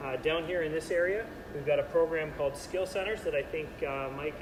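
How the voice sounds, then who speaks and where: The pace is very fast, with audible room echo. Noticeable background noise sits behind it. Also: man. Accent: Canadian. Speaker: national sport federation manager. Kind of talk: presentation. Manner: loud.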